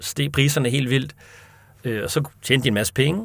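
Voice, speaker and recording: Speaking with a medium pitch, the man keeps a moderate pace. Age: 30s. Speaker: chair of a monetary reform association. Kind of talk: interview. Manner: hesitant with fillers.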